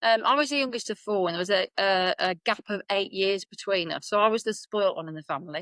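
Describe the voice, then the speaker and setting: In a Birmingham accent, a woman talks at a very fast pace with hardly any pauses, at medium pitch with ordinary pitch variation. The sound is dry and close, with no echo. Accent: Birmingham (Brummie). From Birmingham, England. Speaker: business coach and consultant. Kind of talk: podcast interview.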